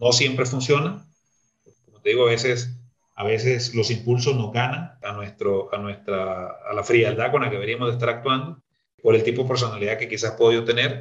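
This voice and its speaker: Somewhat breathy, a man talks at a moderate pace and medium pitch with fairly even intonation. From Nicaragua, north of Matagalpa. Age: 40s. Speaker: lawyer and sales executive. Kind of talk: interview.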